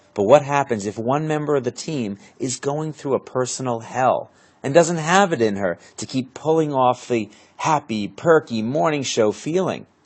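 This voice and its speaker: A man with an unremarkable speaking voice, lively intonation, and a moderate pace. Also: medium pitch for a man. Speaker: speaking coach and interview host. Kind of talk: interview host.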